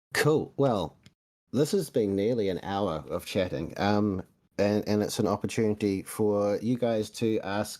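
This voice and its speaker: On a very clean recording with a silent background, a man with a New Zealand accent talks at a moderate pace, his fairly low, dark, mellow voice carrying lively intonation. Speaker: podcast host. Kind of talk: casual chat. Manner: runs words together.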